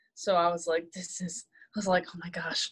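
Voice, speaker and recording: A woman with a plain, everyday voice talks at a fairly slow pace in a medium pitch, the sound dry and close with no echo. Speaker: new student life team member. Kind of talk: casual chat.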